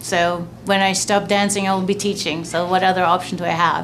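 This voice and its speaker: Moderate pace and ordinary pitch variation, amid noticeable background noise and audible room echo. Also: woman. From Europe. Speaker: professional dancer. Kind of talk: interview testimony.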